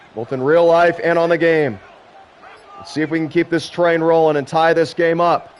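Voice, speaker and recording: Against noticeable background noise, a man with a high voice speaks at a moderate pace. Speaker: gaming streamer doing play-by-play commentary. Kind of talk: live commentary. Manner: animated.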